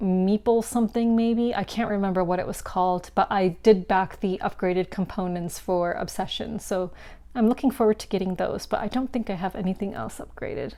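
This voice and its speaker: A woman with a dark, mellow tone speaks at medium pitch with ordinary pitch variation. Her pace is fairly quick with hardly any pauses, on a very clean recording with a silent background. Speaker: board game content creator. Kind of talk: casual vlog monologue. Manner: casual with many fillers.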